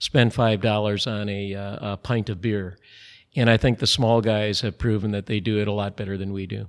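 Relaxed in tone with fairly even intonation, the voice carries an Upper Midwest accent on a very clean recording with a silent background. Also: man. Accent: Upper Midwest American. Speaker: brewery president. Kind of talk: interview. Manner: relaxed, frequent fillers (uh).

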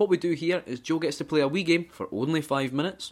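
Vocal fry runs through this man's Scottish accent. He moves at a fairly quick pace with lively intonation. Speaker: gaming podcast co-host. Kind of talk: casual chat.

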